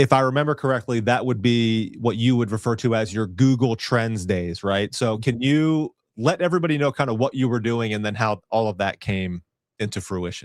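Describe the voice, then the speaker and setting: A man with a plain, everyday voice speaks at a moderate pace, with medium pitch and ordinary pitch variation. The recording is very clean with a silent background, and the sound is dry and close with no echo. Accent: American. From Virginia. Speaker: talk show host. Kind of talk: casual interview chat.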